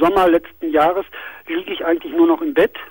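The sound of this man's voice is dry and close, without any echo. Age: 40s. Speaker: caller.

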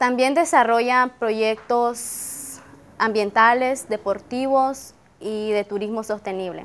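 A woman's fairly high-pitched voice with fairly even intonation. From Nicaragua. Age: 20s. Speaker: university student. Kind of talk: interview testimony. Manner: hesitant, frequent fillers. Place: garden. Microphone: lapel.

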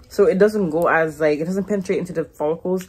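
A woman with a fairly low pitch talks at a fairly quick pace with ordinary pitch variation over noticeable background noise. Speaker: hair vlogger. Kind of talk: casual tutorial chat. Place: home room. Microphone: phone near.

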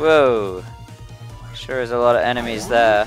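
Over music in the background, a man speaks at a fairly slow pace in a dry sound with no echo. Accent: Australian. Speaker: let's play gamer. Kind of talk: casual gameplay commentary. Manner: soft-spoken. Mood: playful, reactive.

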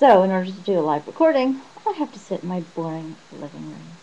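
A woman mumbles at a fairly quick pace with lively intonation. Light background noise sits behind her. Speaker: vlogger. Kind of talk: casual talk to camera. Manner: mumbled. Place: home room. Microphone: webcam.

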